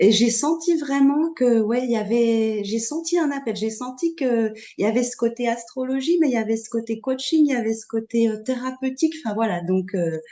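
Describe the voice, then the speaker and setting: A woman's high-pitched voice at a moderate pace, with hardly any pauses. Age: 40s. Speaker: astrology student. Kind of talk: testimony. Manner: halting.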